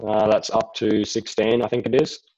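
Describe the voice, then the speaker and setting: Speaking with an Australian accent, a man has a dark, mellow tone. He goes at a fairly slow pace with fairly even intonation. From Australia, Rockhampton, Queensland. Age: 20s. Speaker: speedway rider and riding coach. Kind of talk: interview.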